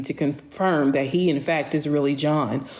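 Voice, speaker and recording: A woman is speaking with ordinary pitch variation. Room echo is audible around her voice. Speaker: social media storyteller. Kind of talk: live stream Q&A. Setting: live stream. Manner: slow.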